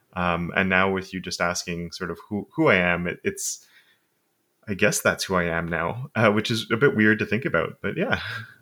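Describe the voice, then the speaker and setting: Very deep and low in pitch, a man speaks with a bright, sharp tone and ordinary pitch variation in a very clean recording with a silent background. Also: moderate pace. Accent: Montreal. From Quebec, Canada (Montreal suburbs, anglophone). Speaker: web development educator. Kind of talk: casual interview conversation.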